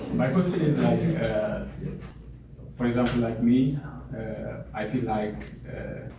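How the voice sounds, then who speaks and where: Speaking at a moderate pace and medium pitch, a man is heard with audible room echo and noticeable background noise. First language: not English. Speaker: audience member. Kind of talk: audience question. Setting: library event with audience. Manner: halting, many fillers.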